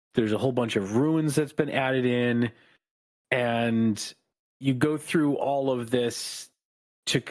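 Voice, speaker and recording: A man of medium pitch speaks at a moderate pace with ordinary pitch variation. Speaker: podcast co-host. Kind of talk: casual chat. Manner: calm, moderately expressive.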